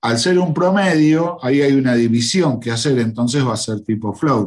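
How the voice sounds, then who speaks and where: A man's unremarkable speaking voice at medium pitch, with lively intonation. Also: moderate pace. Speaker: teacher. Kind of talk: lecture. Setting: online class livestream.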